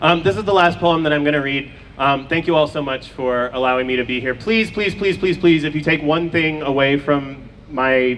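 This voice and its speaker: Noticeable background noise sits behind a man with a fairly high pitch. He talks at a fairly quick pace with fairly even intonation. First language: Farsi. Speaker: poet. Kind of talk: poetry reading. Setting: outdoors. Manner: halting.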